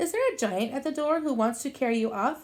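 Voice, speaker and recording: In a put-on character voice, a woman speaks at a high pitch and a fairly quick pace with lively intonation. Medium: read story.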